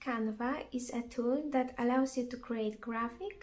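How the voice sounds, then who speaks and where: The speaker has a non-native accent and talks at a fairly slow pace. Music plays in the background. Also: woman. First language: not English. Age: 20s. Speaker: vlogger. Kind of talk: casual vlog narration. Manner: halting.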